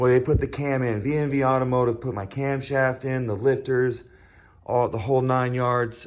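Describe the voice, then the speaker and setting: Against a quiet background, a man mumbles at a moderate pace in monotone, flat intonation. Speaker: car enthusiast vlogger. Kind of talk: casual vlog talk. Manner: mumbling; rambling with many fillers.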